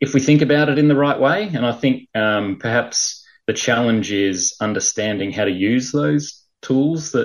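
In a very clean recording with a silent background, a man speaks with an Australian accent. His pitch is medium, his intonation lively, and his pace moderate. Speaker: management consultant. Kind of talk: interview.

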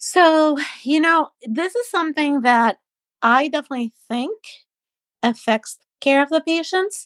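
A woman with a high pitch and lively intonation speaks at a fairly slow pace with long, frequent pauses and big swings in loudness, in a dry, close sound with no echo. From Panama. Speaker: pediatric pulmonologist. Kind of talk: interview.

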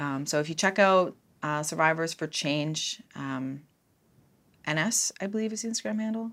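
With a Cape Breton accent, a woman speaks at a moderate pace in a very deep, low pitch with lively intonation, captured in a very clean recording with a silent background. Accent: Cape Breton Canadian English. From Cape Breton, Nova Scotia, Canada. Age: 30s. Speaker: social services student. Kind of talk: casual chat.

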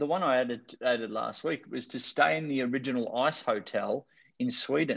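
His accent is Australian. The man talks at a fairly quick pace. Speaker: motivational speaker and author. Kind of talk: interview. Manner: animated.

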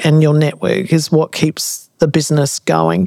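In an Australian accent, a woman speaks at a moderate pace with a fairly low pitch, the sound dry and close with no echo. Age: 50s. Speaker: consultancy CEO and podcast host. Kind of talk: casual interview chat.

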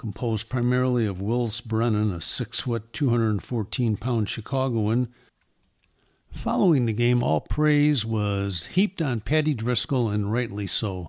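A man speaks in a plain, everyday voice at a medium pitch, fairly slowly and with ordinary pitch variation, on a very clean recording with a silent background. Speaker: football historian and author. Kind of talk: documentary-style narration of history, read aloud.

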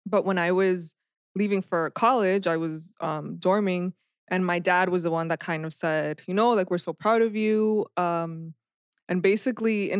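Speaking at a moderate pace, a woman with an American accent uses an unremarkable speaking voice at medium pitch with fairly even intonation. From Perth Amboy, New Jersey (born Dominican Republic). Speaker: former lay missionary, engaged. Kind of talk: casual interview chat.

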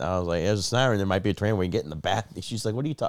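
A man speaks with a very deep, low pitch, vocal fry and lively intonation. The recording is very clean, with a silent background. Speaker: comedian podcast co-host. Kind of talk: casual comedic banter.

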